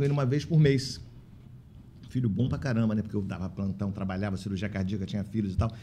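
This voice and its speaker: A man of medium pitch talks very fast in a dark, mellow tone with ordinary pitch variation. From Italy. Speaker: physician and care-home association leader. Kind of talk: casual interview chat. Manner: animated.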